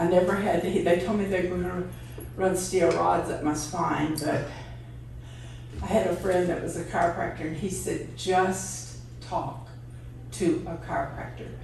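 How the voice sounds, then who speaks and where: A woman speaks at a moderate pace, leaving long, frequent pauses. Noticeable background noise and audible room echo are present. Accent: Texan. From East Texas. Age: 80s+. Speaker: radio DJ's wife telling life story. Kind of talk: personal storytelling.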